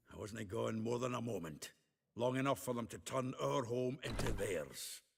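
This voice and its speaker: Using a put-on character voice, a man speaks at a moderate pace in a medium pitch. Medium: video game. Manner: gruff, blunt, colorful swearing.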